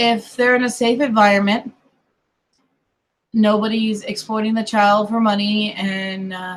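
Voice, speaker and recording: A woman's fairly high, somewhat breathy voice at a moderate pace. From US, mixed: Colorado, California, Kentucky family. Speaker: online streamer. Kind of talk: casual chat.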